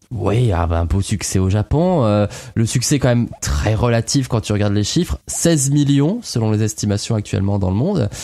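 With a dark, mellow tone and fairly low pitch, a man speaks at a moderate pace with lively intonation. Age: 30s. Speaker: podcast co-host. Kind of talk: casual chat.

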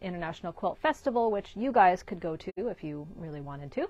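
The sound is dry, with no echo. Speech moves at a moderate pace. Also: woman. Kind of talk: casual shop update talk. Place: shop. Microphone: lapel.

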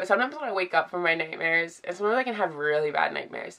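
Over a quiet background, a woman speaks with a bright, sharp tone at a fairly low pitch. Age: 20s. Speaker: vlogger. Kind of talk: personal vlog confession. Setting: in bed, filming at home. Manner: hesitant, many fillers. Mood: emotional, vulnerable. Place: home room. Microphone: phone near.

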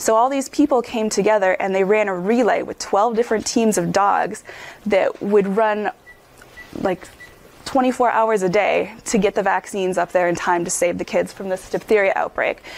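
Noticeable background noise accompanies a woman speaking at a medium pitch. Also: ordinary pitch variation, moderate pace. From Upper Peninsula of Michigan. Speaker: physician lecturer. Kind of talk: lecture.

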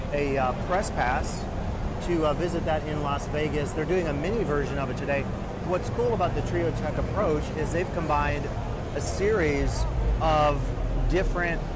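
A man talks at a moderate pace, his dry sound with no echo set against loud background noise. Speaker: industry commentator. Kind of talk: walkthrough commentary. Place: hall. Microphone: phone near.

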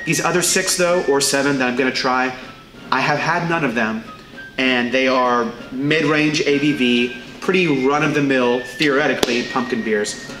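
A man at a fairly slow pace with ordinary pitch variation, clear music in the background. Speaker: beverage reviewer host. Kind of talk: casual vlog chat. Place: shop.

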